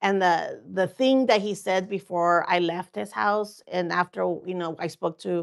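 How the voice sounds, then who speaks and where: Over a quiet background, a woman of medium pitch speaks fairly slowly with fairly even intonation. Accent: Spanish. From Mexico, raised in Oregon farm worker community. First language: Spanish. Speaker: political candidate. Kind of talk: interview. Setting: studio. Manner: halting, many fillers.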